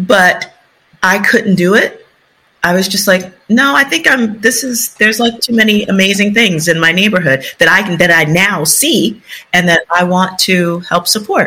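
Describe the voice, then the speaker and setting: A woman talks with an American accent at a moderate pace. She has an ordinary speaking voice, a medium pitch and ordinary pitch variation. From US Northeast, South Bronx, New York City. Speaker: urban development consultant and author. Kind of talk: interview conversation.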